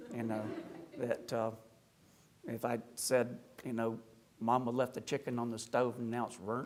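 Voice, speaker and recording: In a slight Appalachian accent, a man speaks at medium pitch and a fairly slow pace. His intonation is monotone and flat, with long, frequent pauses. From US South, rural South Carolina / Appalachia. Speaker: Orthodox priest, speaker. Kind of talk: lecture. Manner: conversational, humorous asides.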